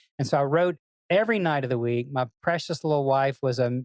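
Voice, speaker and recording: This voice has a Tennessee accent and ordinary pitch variation. The sound is dry and close with no echo, on a very clean recording with a silent background. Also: man. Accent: Southern US (Tennessee). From US South, Memphis Tennessee. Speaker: songwriter and music business executive. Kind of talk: interview. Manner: animated.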